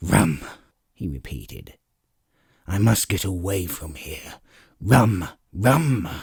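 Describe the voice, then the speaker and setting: A man growls in a put-on character voice with a very deep, low pitch. He talks at a very slow pace. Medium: read story. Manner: gruff, curt.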